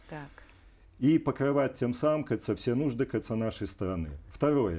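A man speaks at a fairly slow pace with lively intonation and a dark, mellow tone. The background is quiet. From Belarus, Vitebsk; Belarus. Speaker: energy company executive and regional deputy; guest. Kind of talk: TV interview. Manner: halting. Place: studio. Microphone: lapel.

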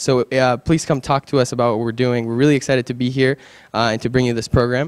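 The background stays quiet while a man talks. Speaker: student organizer. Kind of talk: event announcements. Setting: event venue with audience. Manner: casual, halting. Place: hall. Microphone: handheld.

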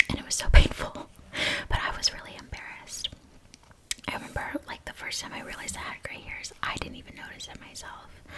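A woman is whispering. Her tone is relaxed. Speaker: ASMR creator. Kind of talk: ASMR whisper ramble. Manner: whispered; soft-spoken, relaxed. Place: home room. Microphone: studio mic.

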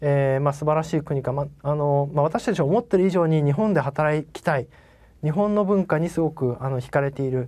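A man speaks at a fairly quick pace in a dark, mellow tone. His fairly high pitch shows ordinary variation. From Japan. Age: 40s. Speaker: company CEO; presenter. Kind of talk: investor presentation; investor presentation and Q&A answers. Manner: polite, many fillers.

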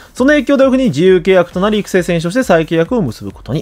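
A man speaks at a fairly quick pace in a high voice, his pitch swinging very widely. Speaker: baseball YouTuber. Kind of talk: commentary video on player prospects. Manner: frequent filler words, polite formal style.

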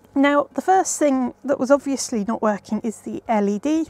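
Speaking at a moderate pace, a woman uses a high pitch with ordinary variation. The sound is dry, with no echo. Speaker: presenter. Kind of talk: tutorial. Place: workshop.

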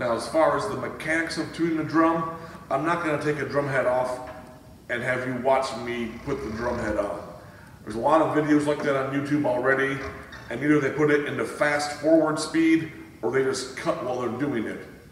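A man talks at a fairly quick pace with fairly even intonation, over light background noise and audible room echo. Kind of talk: tutorial. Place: home room. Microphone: camera far.

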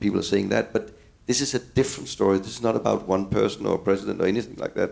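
A man speaks very fast in a Danish accent, his voice fairly low with vocal fry. His pitch varies in an ordinary way. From Denmark. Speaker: architect. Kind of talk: panel discussion. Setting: stage with audience. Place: office. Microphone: handheld.

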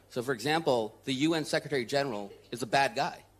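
An ordinary speaking voice with lively intonation at a fairly quick pace. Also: man. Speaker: advocacy leader. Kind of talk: panel discussion. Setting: stage with audience.

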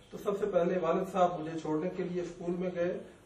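A man talks with a high pitch, and audible room echo follows his words. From Pakistan. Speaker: doctor; guest. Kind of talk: interview. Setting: studio. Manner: soft-spoken. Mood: calm, reflective. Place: studio.

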